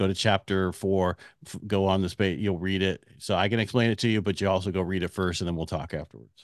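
A man speaks very fast in a very deep, low voice with monotone, flat intonation. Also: quiet background. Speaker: mortgage CEO and radio host. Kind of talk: interview conversation. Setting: remote recording via online platform.

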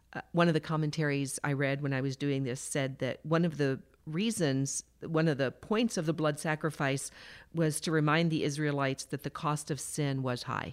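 Someone with an American accent talks at a moderate pace with fairly even intonation. The recording is very clean, with a silent background. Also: woman, very deep, low pitch for a woman. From Texas, Houston. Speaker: church board member. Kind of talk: casual chat.

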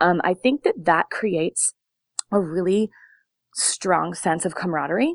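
With a Californian accent, a woman speaks at a medium pitch and a fairly slow pace, with ordinary pitch variation and long, frequent pauses. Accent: Californian American. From Long Beach, California. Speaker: dance studio owner and choreographer. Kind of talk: interview. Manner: hesitant, many fillers.

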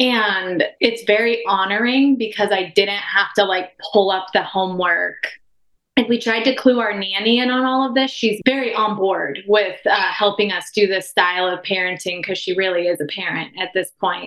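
A woman with an American accent has an ordinary speaking voice, medium pitch, ordinary pitch variation and a moderate pace. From Oregon. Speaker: physical therapist. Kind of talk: casual chat.

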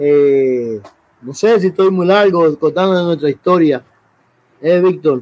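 A man with a high pitch and ordinary pitch variation speaks at a very slow pace, leaving long, frequent pauses. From Dominican Republic, south, raised in Santo Domingo. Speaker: rugby federation official. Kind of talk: interview.

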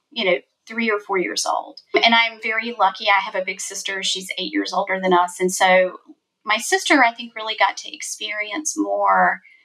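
This woman speaks with a South Carolina accent. Her pace is moderate. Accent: Southern US (South Carolina). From South Carolina, US South. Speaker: family court lawyer. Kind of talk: casual interview.

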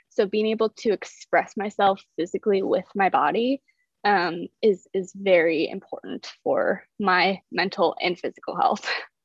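In an American accent, a woman with a normal speaking voice talks at a fairly slow pace, her medium pitch held in fairly even intonation. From US Midwest (South Dakota). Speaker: fitness and nutrition coach. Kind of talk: interview. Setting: video call.

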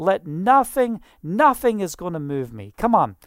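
Here a woman talks with a Scottish accent. Her pace is fairly slow. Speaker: preacher. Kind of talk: sermon. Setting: online video broadcast. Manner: animated.

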